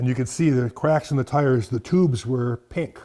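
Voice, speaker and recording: A man with an Upper Midwest accent talks at a very fast pace in a dark, mellow tone. His pitch sits at a medium level and his intonation stays fairly even. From South Dakota (near Garretson). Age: 70s. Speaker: farmer and collector, retired teacher. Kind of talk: interview, casual storytelling.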